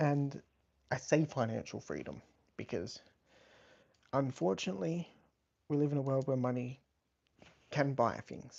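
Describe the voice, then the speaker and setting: Speaking at a moderate pace with long, frequent pauses, a man with an Australian accent uses a medium pitch and ordinary pitch variation. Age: 20s. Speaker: livestreamer. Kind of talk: casual chat.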